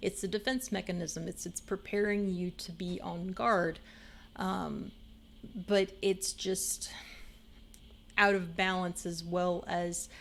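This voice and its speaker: The voice is monotone and flat, moving at a very slow pace with long, frequent pauses. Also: woman, medium pitch for a woman. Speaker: streamer. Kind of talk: casual chat. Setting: live stream. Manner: rambling with fillers.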